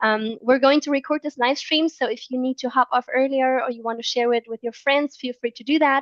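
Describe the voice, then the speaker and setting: The speaker talks at a fairly quick pace with a German accent and fairly even intonation. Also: woman, high pitch for a woman. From Germany. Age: 20s. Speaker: event host, former au pair. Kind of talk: live stream chat.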